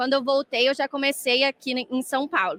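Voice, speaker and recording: Her voice is high-pitched, bright and sharp, raised and projected, with a Minas Gerais accent. The woman keeps a moderate pace, and the sound is dry and close with no echo. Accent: mineiro Brazilian Portuguese. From Brazil, Minas Gerais (Varginha). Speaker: dentistry lecturer and researcher. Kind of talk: lecture. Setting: congress stage with audience.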